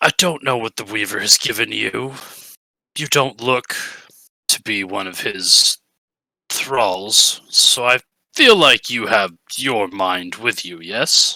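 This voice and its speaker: Using a raspy, put-on character voice at medium pitch, a man talks at a fairly slow pace with long, frequent pauses and big swings in loudness, the sound dry and close with no echo. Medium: actual play. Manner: blunt, controlled.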